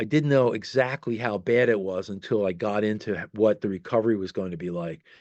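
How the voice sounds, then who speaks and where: A man's fairly low voice, fairly quick and with hardly any pauses, with ordinary pitch variation. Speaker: rock keyboardist. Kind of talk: interview storytelling.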